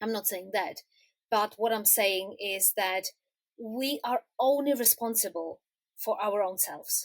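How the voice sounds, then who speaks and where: The speech moves at a very slow pace with ordinary pitch variation. The sound is dry and close, with no echo. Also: woman. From Czech Republic. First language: Czech. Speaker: quilter. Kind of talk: interview answer.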